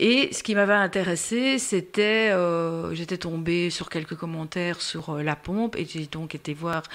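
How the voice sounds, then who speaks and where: A woman with a Brussels accent speaks at a fairly low pitch and a fairly slow pace, with ordinary pitch variation. The recording is very clean, with a silent background. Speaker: podcast host, patient expert for diabetes. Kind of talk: casual interview. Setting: recorded podcast.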